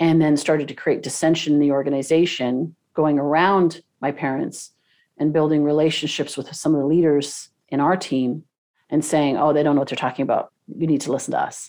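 In a Canadian accent, a woman speaks at a fairly quick pace with a very deep, low pitch and a dark, mellow tone. Her intonation is monotone and flat, over a quiet background. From Canada, Toronto. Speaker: business coach and podcast host. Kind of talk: interview.

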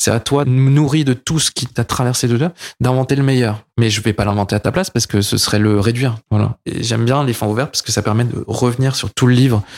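In a plain, everyday voice, a man speaks at medium pitch and a fairly quick pace with ordinary pitch variation and hardly any pauses, the sound dry and close with no echo. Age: 30s. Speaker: comic artist and filmmaker. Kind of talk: casual interview chat. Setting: his production company offices.

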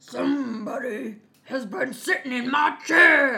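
A put-on, gruff character voice, high in pitch, at a fairly slow pace

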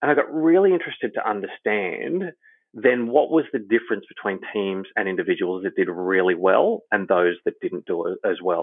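Fairly quick delivery from a man with an Australian accent. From Australia, Queensland. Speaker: human performance consultant. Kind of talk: interview.

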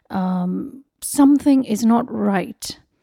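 The tone is dark and mellow, with lively intonation and a dry, close sound that has no echo. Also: woman. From India, Mumbai. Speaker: author. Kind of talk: interview. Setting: at a kitchen table.

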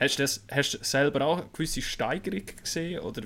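A man in a Swiss accent speaks at a very fast pace. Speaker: hockey reporter. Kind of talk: podcast interview.

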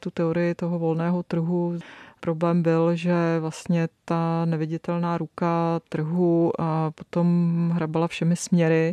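Over a quiet background, a woman speaks fairly slowly in a fairly low, dark and mellow voice with monotone, flat intonation. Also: dry, close sound with no echo. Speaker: economic journalist. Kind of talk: interview.

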